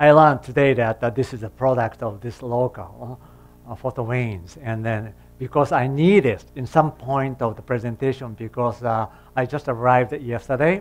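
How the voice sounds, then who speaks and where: Over music in the background, a man talks at a moderate pace with ordinary pitch variation and big swings in loudness. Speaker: guest. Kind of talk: lecture. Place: classroom.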